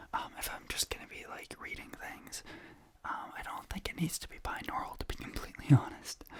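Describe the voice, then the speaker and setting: A man whispers at a moderate pace. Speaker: ASMR content creator. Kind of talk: ASMR reading, casual talk to camera. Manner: soft-spoken, whispery; whispering.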